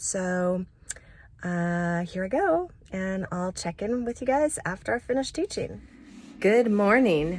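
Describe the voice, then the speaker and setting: A woman with an unremarkable speaking voice talks at a fairly slow pace and medium pitch. Her intonation is lively. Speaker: vocal coach. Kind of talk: casual vlog talk to camera.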